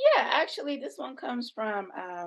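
Speaking fairly slowly in a plain, everyday voice, a woman uses lively intonation. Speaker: co-host, interviewer. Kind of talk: casual interview.

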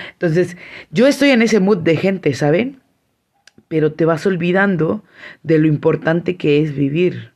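A woman with a warm, enthusiastic tone and a fairly low pitch, lively intonation, a fairly slow pace with long, frequent pauses, and very even loudness. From Mexico, San Cristóbal de las Casas, Chiapas. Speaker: podcast host. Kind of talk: solo podcast monologue.

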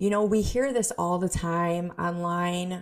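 A woman speaks in an ordinary speaking voice, fairly low in pitch and at a fairly slow pace. The recording is very clean, with a silent background. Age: 40s. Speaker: business coach and podcast host. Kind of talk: solo podcast monologue.

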